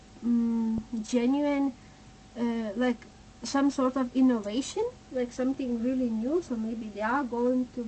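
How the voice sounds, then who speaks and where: A woman with a non-native accent speaks at a high pitch with fairly even intonation. Noticeable background noise sits behind her. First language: not English. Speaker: tarot reader. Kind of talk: tarot reading. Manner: halting.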